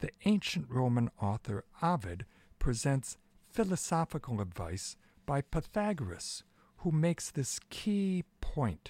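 In a very clean recording with a silent background, a man speaks at a very slow pace in a somewhat breathy, dark, mellow tone with very wide pitch swings. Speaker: radio host. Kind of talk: poem reading and commentary. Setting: radio broadcast. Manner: measured, formal, expressive reading.

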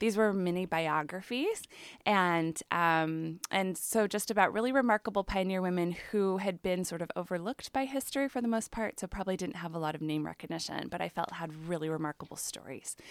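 In a normal speaking voice with an American accent, a woman talks at medium pitch, a fairly quick pace and ordinary pitch variation with hardly any pauses, dry and close with no echo on a very clean recording with a silent background. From US Midwest, Chicago area. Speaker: author and English professor. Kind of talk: radio interview.

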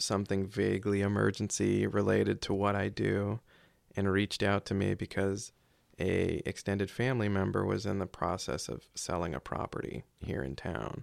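A man with an American accent and fairly low pitch talks at a fairly slow pace in an ordinary speaking voice. The recording is very clean, with a silent background. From South Carolina, near Charleston. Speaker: emergency management coordinator and military reservist. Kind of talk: interview conversation. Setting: studio.

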